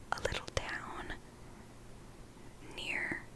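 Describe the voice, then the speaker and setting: Noticeable background noise sits behind a woman's voice. She whispers at a very slow pace. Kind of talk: ASMR vlog voiceover. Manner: soft-spoken, whispered.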